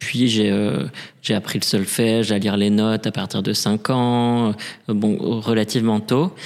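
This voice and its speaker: A man speaks in a fairly low voice at a fairly slow pace. His intonation stays fairly even, and his loudness is very even. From Paris, France. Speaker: opera singer and drag queen. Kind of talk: interview. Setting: reverberant room in a theatre.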